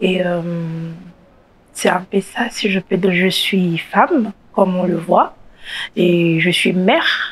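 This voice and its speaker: A woman speaks very slowly, her medium-pitched voice flat and monotone. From DR Congo. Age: 30s. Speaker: HIV activist. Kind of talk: testimony. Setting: studio.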